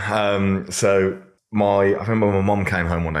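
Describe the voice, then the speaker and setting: A man talks at a moderate pace in a very deep, low pitch. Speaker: online fitness coach. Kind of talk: podcast interview. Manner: loud; casual, swears freely.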